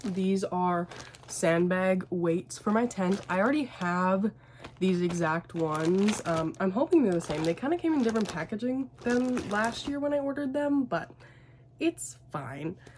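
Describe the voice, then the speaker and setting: Against noticeable background noise, a woman at medium pitch speaks fairly slowly, her voice swinging very widely up and down. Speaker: crochet small business owner and vlogger. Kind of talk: casual vlog chat. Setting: home studio, late at night. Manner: quiet, hushed; chatty, many fillers.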